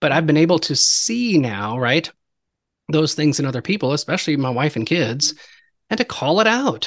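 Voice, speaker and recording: In a quiet background, a man talks at a moderate pace with a fairly high pitch and very wide pitch swings. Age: 40s. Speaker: podcast host. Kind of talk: casual chat.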